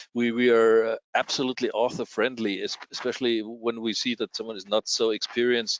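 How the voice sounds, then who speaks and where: A man at medium pitch speaks in a monotone, flat way with hardly any pauses, the sound dry and close with no echo. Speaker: scientific journal editor and publisher. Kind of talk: interview. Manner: halting, many repetitions and fillers.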